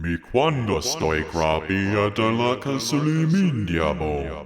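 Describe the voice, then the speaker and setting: A man mumbles in a put-on character voice, fairly low-pitched, at a fairly slow pace. His pitch swings very widely, and background noise is clearly audible. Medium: read story. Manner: mumbling, unintelligible.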